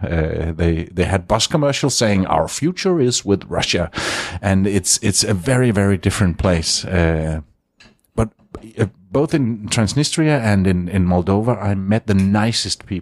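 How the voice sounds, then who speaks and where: Fairly low in pitch, a man with a Danish accent keeps his loudness very even in a dry, close sound with no echo. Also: lively intonation, moderate pace. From Denmark. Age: 50s. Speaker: radio consultant. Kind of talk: interview. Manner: halting.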